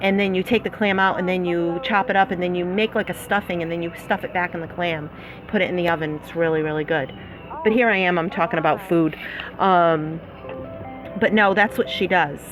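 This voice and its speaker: A woman with a Massachusetts accent speaks in a fairly low voice with fairly even intonation. Noticeable background noise runs under her words. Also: fairly quick pace. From Massachusetts, US (Fall River area). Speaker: slot play YouTuber. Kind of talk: live stream chat. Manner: casual, many filler words.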